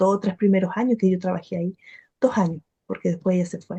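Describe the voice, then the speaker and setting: A woman speaks at a moderate pace with a Chilean accent. Her voice is somewhat breathy with a dark, mellow tone, and the sound is dry and close with no echo. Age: 50s. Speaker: spiritual teacher and meditation practitioner. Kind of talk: testimony.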